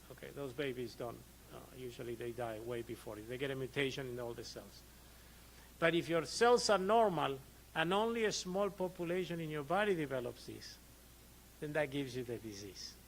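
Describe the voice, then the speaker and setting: With audible room echo, a man in an Argentine accent talks at a fairly quick pace, his fairly high pitch swinging very widely and his loudness rising and falling sharply. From Argentina. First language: Spanish. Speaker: physician. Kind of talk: lecture. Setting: conference presentation with audience. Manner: conversational, frequent 'okay' check-ins.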